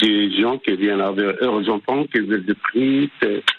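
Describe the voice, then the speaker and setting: With a North African accent, a man speaks at a fairly slow pace and with ordinary pitch variation. Noticeable background noise is present. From Maghreb (Algeria). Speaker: restaurant owner and cook. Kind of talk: radio interview. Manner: halting.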